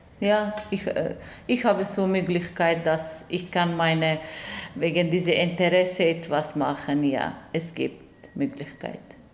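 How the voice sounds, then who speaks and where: A woman at a very slow pace, with ordinary pitch variation, audible room echo and noticeable background noise. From Afghanistan. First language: not German (speaking German). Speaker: journalist and director. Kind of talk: interview testimony. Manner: halting, many hesitations.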